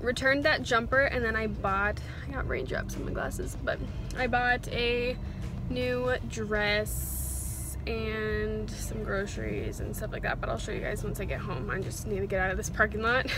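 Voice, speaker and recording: A dry sound with no echo, a moderate pace and clear music in the background. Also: woman. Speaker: lifestyle vlogger. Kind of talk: casual vlog chat. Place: car. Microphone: phone near.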